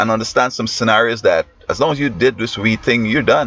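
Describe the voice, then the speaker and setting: With a Guyanese accent, a man talks at a very fast pace, the sound dry and close with no echo, over noticeable background noise. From Guyana. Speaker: teacher and commentator. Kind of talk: opinion monologue. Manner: halting.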